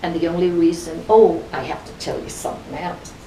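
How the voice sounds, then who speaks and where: A woman with an Irish accent, fairly low in pitch, at a moderate pace, with audible room echo and noticeable background noise. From Ireland, County Kerry. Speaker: club member, Irish immigrant. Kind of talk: interview, reminiscing. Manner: animated.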